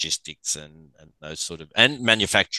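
In a quiet background with a dry, close sound and no echo, a man with an Australian accent speaks at a moderate pace in a bright, sharp tone. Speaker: sports physical therapist. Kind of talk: casual chat.

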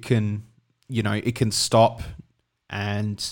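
In an Australian accent, a man speaks with monotone, flat intonation at a very slow pace and fairly low pitch. The recording is very clean, with a silent background. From South Australia. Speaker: podcast co-host.

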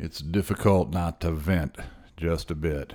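The man talks at a fairly slow pace with ordinary pitch variation, captured on a very clean recording with a silent background. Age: 50s. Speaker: podcast host and musician. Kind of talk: solo monologue commentary.

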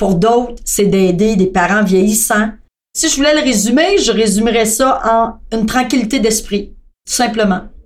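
Audible room echo surrounds a woman who speaks fairly slowly at a fairly high pitch, her loudness very even. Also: ordinary pitch variation. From Quebec, Thetford Mines. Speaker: customer service staff. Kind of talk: casual chat.

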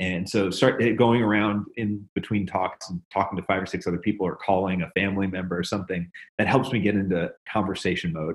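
With a normal speaking voice and an American accent, a man of fairly low pitch talks at a fairly quick pace with fairly even intonation and hardly any pauses. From US South, Memphis, Tennessee. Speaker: software engineer, startup CTO. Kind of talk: casual interview.

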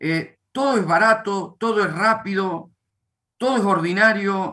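A man with an Argentine accent projects a raised voice at a very slow pace. His pitch is high and his tone bright and sharp. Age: 50s. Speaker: pastor. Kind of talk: religious teaching. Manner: halting.

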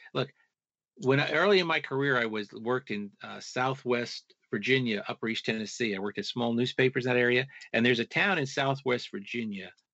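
At a fairly quick pace, a man with an unremarkable speaking voice talks at medium pitch with ordinary pitch variation. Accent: American. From US Northeast, Long Island, New York. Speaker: author and researcher. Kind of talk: interview.

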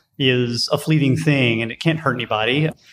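This man has a normal speaking voice with a fairly high pitch. He talks at a moderate pace with ordinary pitch variation. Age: 40s. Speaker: design director. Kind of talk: interview. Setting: conference venue.

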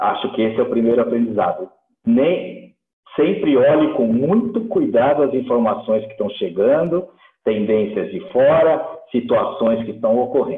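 A fairly high male voice with very wide pitch swings. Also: moderate pace. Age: 60s. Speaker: dairy company executive. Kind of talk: interview.

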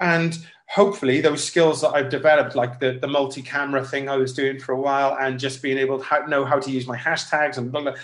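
Here a man speaks at a very fast pace with a Welsh accent. His pitch is fairly high and varies in an ordinary way. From Wales, Cardiff. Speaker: singer-songwriter and saxophonist. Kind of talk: casual interview.

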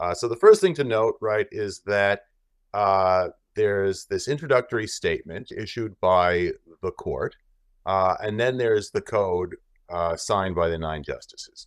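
Over a very clean recording with a silent background, a man speaks at a fairly slow pace. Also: dry, close sound with no echo. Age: 50s. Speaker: law professor. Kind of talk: casual chat.

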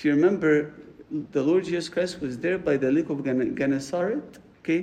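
With an Arabic accent, a man talks at a moderate pace in a fairly high pitch and a dark, mellow tone, with audible room echo around him. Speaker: priest. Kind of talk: sermon. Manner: halting, repeats words.

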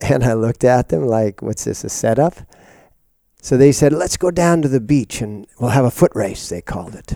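A man with an American accent speaks at a medium pitch in a dark, mellow tone. The recording is very clean, with a silent background. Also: moderate pace. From US Pacific Northwest, Seattle. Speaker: yoga teacher. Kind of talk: interview conversation.

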